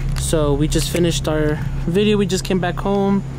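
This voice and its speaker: The man's voice sits high in pitch with ordinary variation, dry with no echo, over noticeable background noise. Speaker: video host. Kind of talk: casual vlog outro. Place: street.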